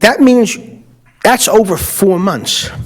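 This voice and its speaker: A man talks with a Brooklyn accent and ordinary pitch variation. His pace is very slow. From US Northeast, Brooklyn, New York. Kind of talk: public comment at a city commission meeting.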